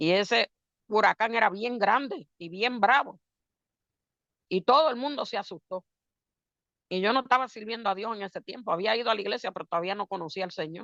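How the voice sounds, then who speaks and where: At a fairly quick pace but with long, frequent pauses, a woman speaks in a fairly high pitch with a bright, sharp tone and ordinary pitch variation, the sound dry and close with no echo. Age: 60s. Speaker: preacher. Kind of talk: sermon.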